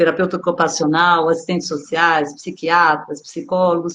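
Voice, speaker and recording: A woman's voice, fairly low in pitch. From Brazil, São Paulo. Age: 60s. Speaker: body therapist. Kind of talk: online dialogue / talk.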